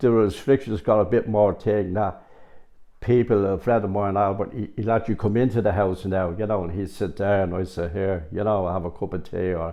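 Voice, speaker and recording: A man's fairly low voice moves at a moderate pace, his pitch varying in an ordinary way. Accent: Dublin. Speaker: local resident. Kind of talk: interview.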